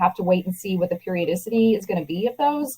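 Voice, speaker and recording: A woman with an American accent, somewhat breathy at a medium pitch, at a fairly quick pace. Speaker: proposal consultant presenting a webinar. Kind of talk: webinar presentation. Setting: online webinar call. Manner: fast.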